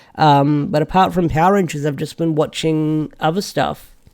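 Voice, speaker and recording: Moderate pacing and ordinary pitch variation from a man with a fairly high voice. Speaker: YouTuber answering viewer questions. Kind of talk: casual Q&A livestream-style chat. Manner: mumbling, lots of fillers; halting, self-correcting.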